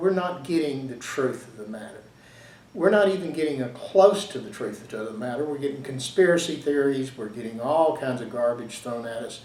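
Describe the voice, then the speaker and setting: With a Southern US accent, a man at a fairly high pitch talks at a moderate pace with lively intonation, over noticeable background noise and audible room echo. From Louisiana and Texas. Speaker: history commentator. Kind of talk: casual monologue. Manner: halting, frequent fillers.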